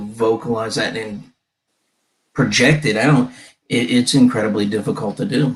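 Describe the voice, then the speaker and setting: Music plays behind a man who talks at a moderate speed, his pitch varying in an ordinary way. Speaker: podcast host. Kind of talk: casual chat.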